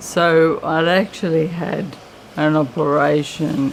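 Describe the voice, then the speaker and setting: Noticeable background noise sits behind a woman speaking at a very slow pace with a very deep, low pitch. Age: 50s. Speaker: person living with motor neurone disease. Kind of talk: testimony.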